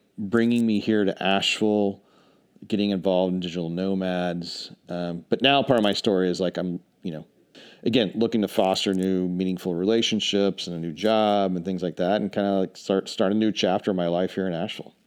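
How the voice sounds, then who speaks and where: A normal speaking voice from a man, fairly low-pitched and fairly quick, with fairly even intonation over a quiet background. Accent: American. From Charlotte, North Carolina, US South. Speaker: remote worker, strategy consultant. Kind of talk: casual chat.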